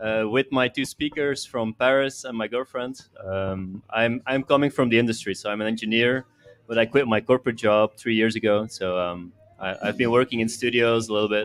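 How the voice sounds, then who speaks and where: With music in the background, the speaker talks at a fairly quick pace with fairly even intonation in a Belgian accent, the sound dry and close with no echo. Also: man, medium pitch for a man. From Belgium. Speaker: venue owner and audio engineer. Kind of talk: casual interview chat. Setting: live podcast on location at a venue with audience.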